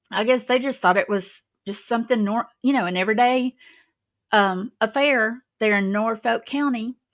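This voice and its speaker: In a Southern US accent, a woman speaks at a moderate pace with fairly high pitch and fairly even intonation. The sound is dry and close with no echo, over a quiet background. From Alabama. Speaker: YouTube commentary host. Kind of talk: casual livestream monologue. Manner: conversational, rambling with fillers.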